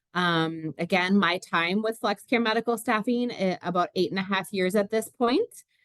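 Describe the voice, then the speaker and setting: Her loudness very even and her pauses hardly there, a woman of medium pitch speaks with a Minnesotan accent. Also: ordinary pitch variation, moderate pace. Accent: Minnesota. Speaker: recruiter. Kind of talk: webinar presentation. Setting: video call webinar. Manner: many filler words.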